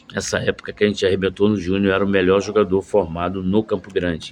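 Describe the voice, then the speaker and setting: Fairly quick delivery in a monotone, flat intonation. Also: man. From Rio de Janeiro, Brazil. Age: 60s. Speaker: former footballer and football coach. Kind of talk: casual video monologue. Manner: halting, many fillers.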